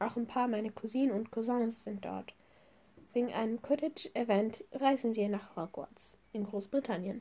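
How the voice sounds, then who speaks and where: Her fairly high voice has a dark, mellow tone, is somewhat breathy, and shows ordinary pitch variation. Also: moderate pace. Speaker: podcast host. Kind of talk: reading aloud.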